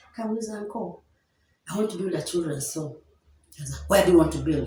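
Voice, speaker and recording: There is audible room echo around a woman's fairly low voice. Her pitch varies in an ordinary way. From Kenya. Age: 60s. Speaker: children's home founder. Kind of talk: interview. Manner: halting.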